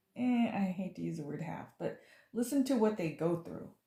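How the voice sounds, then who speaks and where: A woman speaks with lively intonation and a dark, mellow tone. Her voice is somewhat breathy. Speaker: tarot reader and author. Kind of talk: tarot reading monologue.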